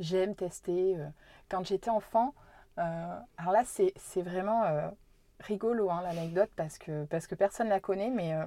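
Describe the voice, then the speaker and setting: In a very clean recording with a silent background and a dry, close sound with no echo, a woman speaks at a fairly slow pace with long, frequent pauses, her dark, mellow voice set at medium pitch with ordinary pitch variation. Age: 30s. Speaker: business owner and local politician. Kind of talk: casual interview. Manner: hesitant, many fillers.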